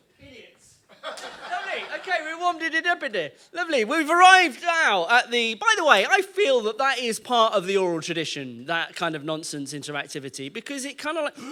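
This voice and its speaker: A raised, projected male voice at an extremely high pitch, with very wide pitch swings, big swings in loudness, a fairly quick pace and hardly any pauses, over noticeable background noise. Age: 40s. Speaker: spoken word poet. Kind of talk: audience warm-up at live show. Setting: live venue. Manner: playful, interactive.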